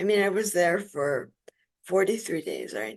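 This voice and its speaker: A woman's lively intonation with vocal fry. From Spain, moved to US around age seven. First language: Spanish. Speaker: stroke survivor. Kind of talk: interview.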